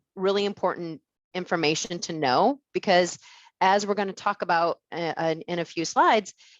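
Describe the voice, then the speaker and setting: A woman's voice with a fairly low pitch. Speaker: insurance executive. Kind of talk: webinar presentation. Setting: webinar. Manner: fast; many filler words.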